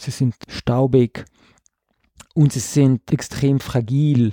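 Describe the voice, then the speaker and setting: Fairly even intonation in a man's dark, mellow, medium-pitched voice. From South Tyrol, Ladin-speaking valley. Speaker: visual artist. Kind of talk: interview. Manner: hesitant, many fillers.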